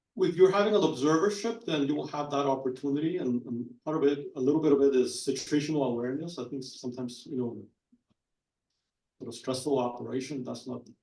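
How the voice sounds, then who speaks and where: Very fast speech in a non-native accent carries a dark, mellow tone and ordinary pitch variation, with audible room echo. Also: man, big swings in loudness. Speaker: physician panelist. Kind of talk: panel discussion. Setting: conference panel with audience.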